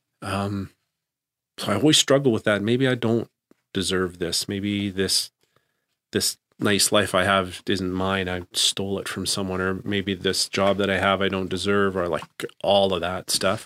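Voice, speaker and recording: A man with a Canadian accent speaks at a fairly slow pace in a plain, everyday voice, his pitch fairly low. His intonation stays fairly even, and the sound is dry and close with no echo. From Canada. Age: 50s. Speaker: school principal. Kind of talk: interview.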